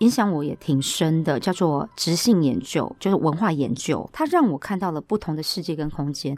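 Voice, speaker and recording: Speaking at a moderate pace with hardly any pauses, a woman with a fairly low pitch, lively intonation and an unremarkable speaking voice is heard in a very clean recording with a silent background. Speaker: event host and speaking coach. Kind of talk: interview.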